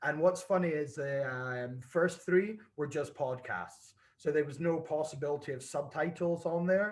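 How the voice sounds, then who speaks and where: A man speaks at a fairly high pitch with a slight Scottish accent. His voice is somewhat breathy, with ordinary pitch variation. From Scotland. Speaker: whisky brand ambassador. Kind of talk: casual chat.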